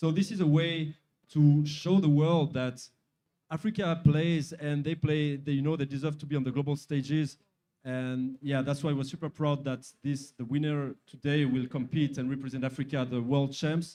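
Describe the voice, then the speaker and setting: Speaking at a moderate pace with a French accent, a man uses a dark, mellow tone, fairly high pitch and fairly even intonation. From France. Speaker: sponsor executive. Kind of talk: interview.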